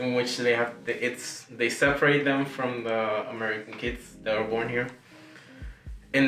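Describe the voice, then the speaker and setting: Music plays in the background as a man with a slight Spanish accent talks at a moderate pace and medium pitch with fairly even intonation, with audible room echo. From Nicaragua. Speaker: singer and piano player. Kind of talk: casual interview chat. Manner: careful, trying to speak clearly.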